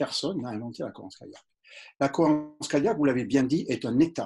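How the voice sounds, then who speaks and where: A man speaks at a fairly high pitch in a somewhat breathy voice with a dark, mellow tone. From southern France. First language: English (speaking French). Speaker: doctor. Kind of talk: interview. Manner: hesitant, many fillers.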